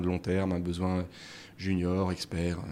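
The recording is very clean, with a silent background. A man speaks at a moderate pace in a very deep, low pitch. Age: 30s. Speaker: startup founder and business angel. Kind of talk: casual interview. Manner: halting, many repetitions and fillers.

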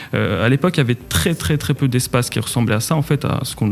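Someone talks at a very fast pace. Noticeable background noise runs underneath. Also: man. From Morocco, Casablanca. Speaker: entrepreneur. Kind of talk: interview. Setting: studio.

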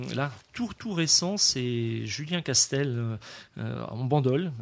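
A man talks with lively intonation. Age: 50s. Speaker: restaurant and wine shop owner. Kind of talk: radio interview. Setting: wine shop recording.

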